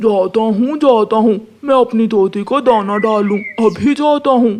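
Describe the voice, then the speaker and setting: This cartoonish character voice is pitched fairly high. It moves at a fairly slow pace. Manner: repetitive, coaxing.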